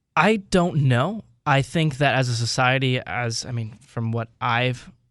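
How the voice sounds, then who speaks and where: A man speaks at a medium pitch with ordinary pitch variation against a quiet background. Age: 20s. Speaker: podcaster. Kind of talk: radio interview. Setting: radio studio. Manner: fast.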